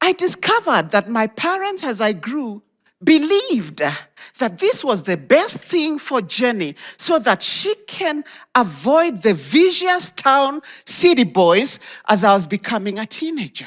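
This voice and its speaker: A woman speaks high and at a fairly slow pace. Her tone is animated, with very wide pitch swings. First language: Kenyan local language. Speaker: motivational speaker. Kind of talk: inspirational talk.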